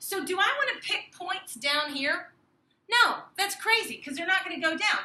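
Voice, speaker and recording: Over light background noise, a woman projects her voice in a bright, sharp tone. Her intonation is lively, and room echo is audible. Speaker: math teacher. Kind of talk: tutorial. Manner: fast. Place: classroom. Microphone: camera far.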